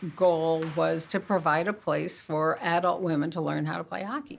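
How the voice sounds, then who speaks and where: This woman has an ordinary speaking voice, fairly low in pitch, with an American accent. Her pitch varies in an ordinary way. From US. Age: 60s. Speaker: amateur hockey organizer. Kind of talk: documentary interview.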